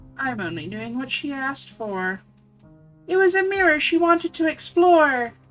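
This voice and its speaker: A woman performs a put-on character voice, high-pitched, raised and projected, at a moderate pace, with faint music in the background. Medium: virtual streamer. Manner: theatrical, sing-song rhyming.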